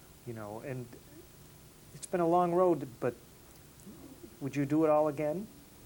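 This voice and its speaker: Pausing long and often, a man with an American accent speaks at a fairly high pitch in a dark, mellow tone. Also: ordinary pitch variation, moderate pace, big swings in loudness. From upstate New York (near Rochester). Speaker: interviewer. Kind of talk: interview. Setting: filmed interview.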